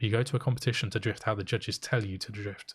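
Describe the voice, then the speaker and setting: The voice is somewhat breathy and moves at a fairly quick pace on a very clean recording with a silent background. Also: man. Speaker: podcast co-host. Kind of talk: casual chat. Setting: live podcast. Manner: fast.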